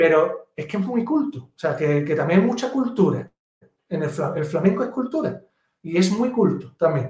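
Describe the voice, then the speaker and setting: The voice has a dark, mellow tone and an Andalusian accent. It moves at a moderate pace with very wide pitch swings. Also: man, high pitch for a man. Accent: Andalusian (Cádiz) Spanish. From Algeciras, Andalusia, Spain. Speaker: pianist and composer. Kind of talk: casual interview.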